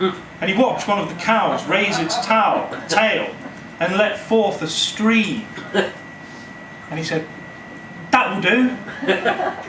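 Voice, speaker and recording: Amid noticeable background noise, a man with a high pitch speaks at a very slow pace, leaving long, frequent pauses, with ordinary pitch variation. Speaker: storyteller. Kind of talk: live storytelling performance. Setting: live audience in a cafe. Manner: humorous, conversational.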